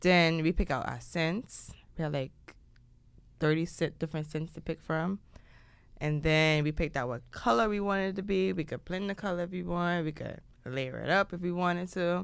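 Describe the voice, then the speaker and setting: Heard in a very clean recording with a silent background, a woman has a plain, everyday voice, fairly low in pitch with ordinary pitch variation, at a moderate pace. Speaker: podcast co-host. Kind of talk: casual chat.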